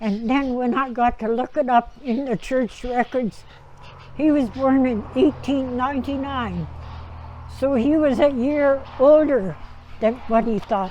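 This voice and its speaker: With a Canadian Prairie accent, a woman talks high and fairly slowly, her pitch varying in an ordinary way. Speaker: Métis elder. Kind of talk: oral history storytelling. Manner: reflective, conversational.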